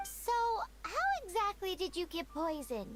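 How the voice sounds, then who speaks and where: An extremely high-pitched put-on character voice over clear background noise. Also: moderate pace. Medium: video game. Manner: excitable, inquisitive.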